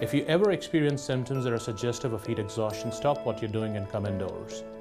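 A man talks with ordinary pitch variation. Clear music plays in the background. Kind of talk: health information report. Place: office. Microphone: lapel.

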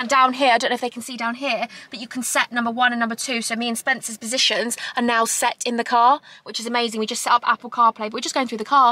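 A woman talks at a very fast pace and a high pitch. The sound is dry, with no echo. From England. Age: 20s. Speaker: YouTuber. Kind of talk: vlog. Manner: animated. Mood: earnest, a bit frustrated.

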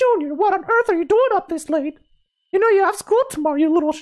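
An extremely high-pitched, put-on character voice at a very fast pace. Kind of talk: maternal. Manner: scolding, exasperated.

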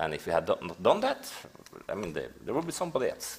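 A man speaks with a Norwegian accent. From Norway. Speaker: investigative journalist. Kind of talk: panel discussion. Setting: stage with audience. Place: stage.

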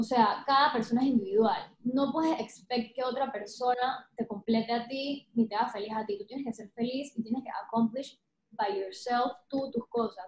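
In a room with audible echo, a high-pitched woman talks at a moderate pace with fairly even intonation and hardly any pauses. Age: 30s. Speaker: painter; interviewee. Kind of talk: interview conversation. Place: home room. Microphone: webcam.

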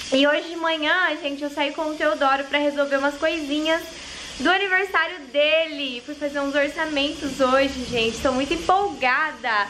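Against light background noise, a woman with a high pitch speaks with fairly even intonation. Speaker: vlogger mother. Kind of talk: casual vlog chat. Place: kitchen. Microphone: phone near.

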